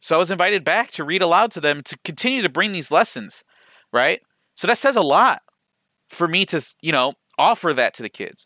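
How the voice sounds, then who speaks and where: On a very clean recording with a silent background, a man with an American accent and a high pitch talks at a fairly quick pace with lively intonation and long, frequent pauses. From Ohio, Lorain area. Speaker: podcast host. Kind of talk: solo monologue. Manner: fast.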